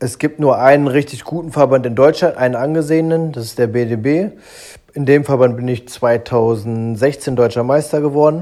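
A man speaks at a moderate pace with a medium pitch, ordinary pitch variation and a dark, mellow tone. The recording is very clean, with a silent background. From Germany, Braunschweig. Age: 30s. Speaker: professional boxer. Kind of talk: interview.

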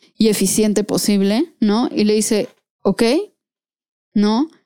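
This is a normal speaking voice from a woman, fairly high in pitch and fairly slow in pace. The recording is very clean, with a silent background. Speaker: podcast co-host. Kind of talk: casual chat.

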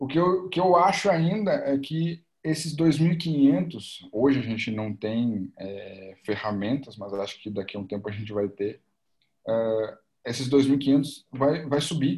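Very slow and somewhat breathy, a man's fairly high voice swings very widely in pitch. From Porto Alegre, Rio Grande do Sul, Brazil. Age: 20s. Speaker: football coach and master's student. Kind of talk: casual interview chat.

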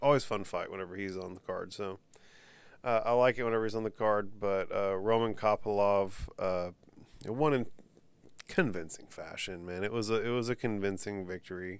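On a very clean recording with a silent background, a man with an American accent speaks at a moderate pace, fairly low in pitch, with fairly even intonation. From Texas. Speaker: podcast host. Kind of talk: casual solo commentary.

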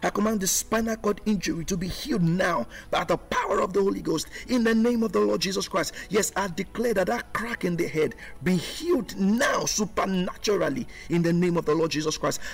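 A man at a fairly quick pace with very even loudness, over noticeable background noise. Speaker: pastor. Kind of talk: fervent prayer of command and healing, declaring in Jesus' name. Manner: forceful, authoritative and rhythmic, repeating commands with rising intensity; earnest, urgent, declaring with conviction.

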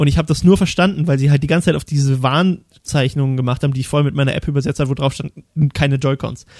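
Very fast speech from a man with fairly high pitch and fairly even intonation. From Thuringia, eastern Germany. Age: 20s. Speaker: podcast host. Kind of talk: casual chat. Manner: talkative.

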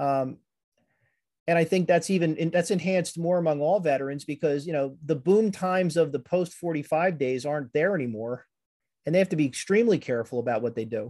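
Speaking at a fairly quick pace with an American accent, the man has a fairly high pitch, ordinary pitch variation and a dark, mellow tone. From southeastern Pennsylvania (Conshohocken, near Philadelphia). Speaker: history professor and army veteran. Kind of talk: interview conversation. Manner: hesitant, many fillers.

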